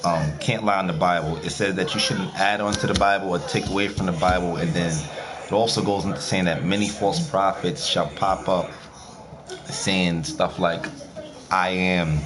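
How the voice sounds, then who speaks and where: Amid noticeable background noise and audible room echo, a man speaks at a very deep, low pitch with very even loudness and ordinary pitch variation. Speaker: streamer talking to viewers. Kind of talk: casual monologue. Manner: fast.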